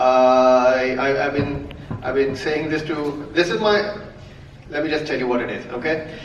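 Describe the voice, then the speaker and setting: There is audible room echo and noticeable background noise. A man with a fairly high pitch speaks at a moderate pace. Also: ordinary pitch variation. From India, Mumbai. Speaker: comedian. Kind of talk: stand-up. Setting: stage with audience. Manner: animated.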